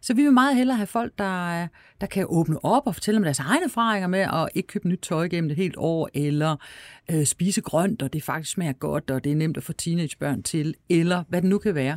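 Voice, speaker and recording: With an ordinary speaking voice, a woman talks at a fairly quick pace and fairly low pitch with lively intonation, on a very clean recording with a silent background and a dry, close sound with no echo. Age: 50s. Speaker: festival director. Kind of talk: interview conversation.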